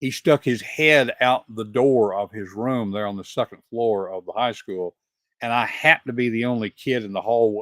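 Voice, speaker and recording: This man talks with a Southern US accent. His pitch sits in the medium range, with ordinary variation. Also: moderate pace, dry, close sound with no echo, very clean recording, silent background. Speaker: podcast host. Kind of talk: interview.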